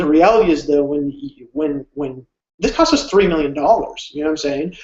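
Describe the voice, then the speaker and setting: His pitch is fairly high for a man, with ordinary pitch variation. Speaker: online business coach. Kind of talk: live webinar sales pitch. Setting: live stream. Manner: fast; animated.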